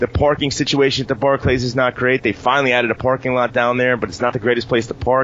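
A man's medium-pitched voice at a very fast pace with hardly any pauses, fairly even intonation, and noticeable background noise. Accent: American. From New York. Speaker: wrestling podcast host. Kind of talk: casual chat.

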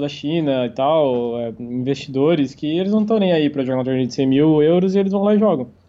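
A man with a plain, everyday voice speaks at a fairly quick pace in a fairly high pitch, his intonation lively. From Santa Catarina, Brazil. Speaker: professional poker player. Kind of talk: interview.

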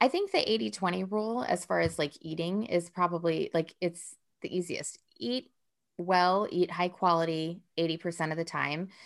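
At a moderate pace and with ordinary pitch variation, it is an unremarkable speaking voice. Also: woman, fairly low pitch for a woman. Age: 40s. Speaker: wellness teacher and former chef. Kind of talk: casual chat.

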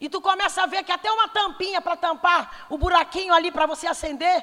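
A woman's animated, raised and projected voice at an extremely high pitch, bright and sharp in tone, at a moderate pace with ordinary pitch variation. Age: 40s. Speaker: pastor. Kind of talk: sermon.

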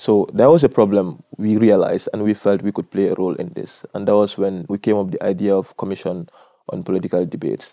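Against a quiet background, a man with a dark, mellow, fairly low voice speaks at a very fast pace with ordinary pitch variation, the sound dry and close with no echo. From Gambia. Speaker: civic activist. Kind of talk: interview.

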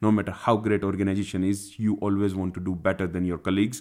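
An Indian accent at a very fast pace in a dark, mellow tone with monotone, flat intonation, on a very clean recording with a silent background. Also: man. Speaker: SQL Server consultant. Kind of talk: interview. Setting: recording at a conference.

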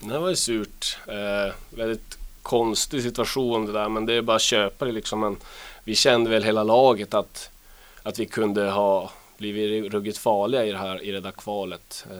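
A man speaks with an unremarkable speaking voice at a fairly low pitch, his intonation fairly even, on a very clean recording with a silent background. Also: moderate pace. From northern Sweden, Luleå. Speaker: ice hockey player. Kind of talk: interview.

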